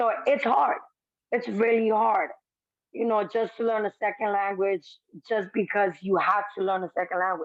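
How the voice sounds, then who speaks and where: A woman in a Spanish accent at a medium pitch and moderate pace, with ordinary pitch variation and very even loudness. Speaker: former shelter resident, housing policy fellow. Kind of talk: interview. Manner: casual, filler-heavy.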